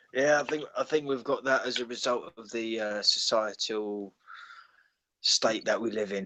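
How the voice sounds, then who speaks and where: Bright and sharp in tone, a man speaks at a medium pitch and moderate pace. His intonation is fairly even, but his loudness swings widely. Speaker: guest on live stream. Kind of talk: casual chat. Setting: online live stream call.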